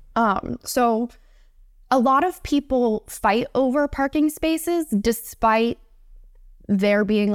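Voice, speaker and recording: The speaker has an American accent and lively intonation at a fairly slow pace, in a very clean recording with a silent background and a dry, close sound with no echo. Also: woman. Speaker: science journalist. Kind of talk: casual chat. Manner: animated.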